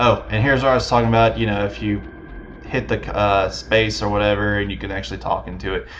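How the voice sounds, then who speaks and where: Talking at a very fast pace, a man speaks with an American accent. Noticeable background noise and audible room echo fill the recording. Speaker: let's play gamer. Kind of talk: gameplay commentary. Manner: casual, hesitant with fillers.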